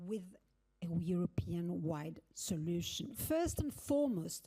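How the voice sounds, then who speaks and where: Very slowly, a woman speaks in a somewhat breathy voice with a dark, mellow tone. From Argentina. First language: Spanish. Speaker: legal academic, keynote speaker. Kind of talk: keynote speech. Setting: conference stage with audience. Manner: formal.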